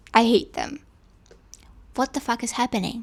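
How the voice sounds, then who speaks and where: A woman speaks in a Russian accent with a high pitch. The recording is very clean, the background silent. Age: 20s. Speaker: podcaster. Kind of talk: reading aloud a personal monologue.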